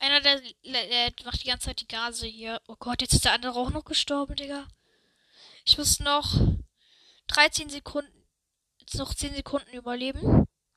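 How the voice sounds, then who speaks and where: A woman speaks at a high pitch with a bright, sharp tone and fairly even intonation, her loudness swinging widely. Her pace is moderate with long, frequent pauses, and the sound is dry and close, with no echo. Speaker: gaming youtuber. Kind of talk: gameplay commentary. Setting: at home.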